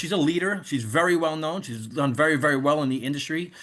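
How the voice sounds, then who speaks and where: The tone is bright and sharp, with a New York accent. The pace is fairly quick against a quiet background. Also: man. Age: 50s. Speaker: network marketing leader. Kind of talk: sales pitch on video call. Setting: video call. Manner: animated.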